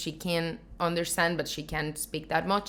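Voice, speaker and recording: A woman talks at a moderate pace in a normal speaking voice. Her pitch sits fairly low, and her intonation stays fairly even. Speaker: YouTuber. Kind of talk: casual vlog talk.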